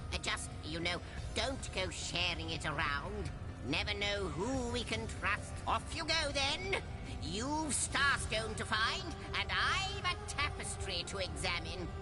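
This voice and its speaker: A put-on character voice at a fairly slow pace over loud background noise. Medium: machinima. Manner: chatty, jovial.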